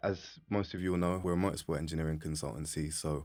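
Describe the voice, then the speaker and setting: With monotone, flat intonation, a man talks at a very deep, low pitch on a very clean recording over a silent background. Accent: English. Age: 30s. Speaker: podcast host, motorsport engineering consultant. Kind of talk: podcast interview.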